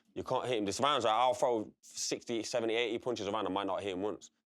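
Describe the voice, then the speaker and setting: A man with a Derby accent at a very fast pace. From English East Midlands, Derby. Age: 30s. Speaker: boxer. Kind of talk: casual chat.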